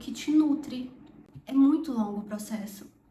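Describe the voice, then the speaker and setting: There is audible room echo around this woman's voice. Her pitch varies in an ordinary way. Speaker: medical student, vlogger. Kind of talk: casual talk to camera. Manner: slow.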